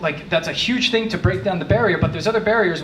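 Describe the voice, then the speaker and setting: An American accent amid audible room echo and noticeable background noise. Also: man. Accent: New Jersey, comes out when frustrated. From New Jersey. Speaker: tech manager. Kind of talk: conference talk. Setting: meetup talk with audience. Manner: fast; casual.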